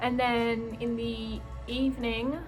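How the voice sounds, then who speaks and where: Music plays in the background as a woman speaks with an Australian accent. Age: 20s. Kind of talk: casual vlog talk to camera.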